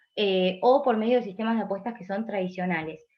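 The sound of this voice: A woman speaks at a fairly quick pace, her pitch medium and its variation ordinary.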